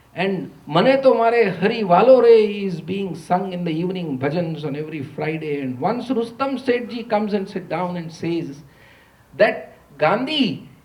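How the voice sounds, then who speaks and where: A man with a high voice and lively intonation speaks amid audible room echo. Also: big swings in loudness. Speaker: economist, university lecturer. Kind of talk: lecture. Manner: slow; quiet.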